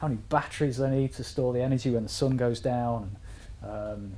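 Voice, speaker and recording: A medium-pitched man at a fairly quick pace, with audible room echo. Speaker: university lecturer. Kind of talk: lecture. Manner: fast.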